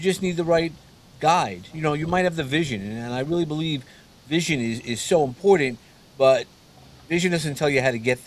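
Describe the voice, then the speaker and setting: A man with a New York accent talks at a fairly quick pace in a fairly high pitch. His pitch varies in an ordinary way, and he takes long, frequent pauses. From New York City (Brooklyn). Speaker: mentor and coach. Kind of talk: interview conversation. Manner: halting, many repeated words.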